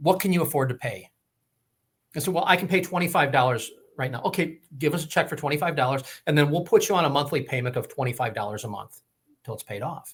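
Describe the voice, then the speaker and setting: Very fast male speech, fairly high and somewhat breathy, with ordinary pitch variation on a very clean recording over a silent background. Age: 60s. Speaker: health commentator guest. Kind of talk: casual interview chat.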